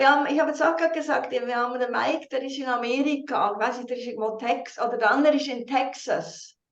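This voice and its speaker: A high-pitched woman's voice with a slight Swiss accent, very fast, with ordinary pitch variation and big swings in loudness. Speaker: team leader and interpreter. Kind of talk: video call with live interpretation. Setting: video call.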